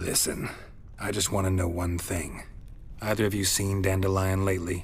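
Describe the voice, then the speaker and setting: Over clear background noise, a put-on character voice proceeds at a moderate pace. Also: man, very deep, low pitch for a man. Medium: video game. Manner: terse, dry.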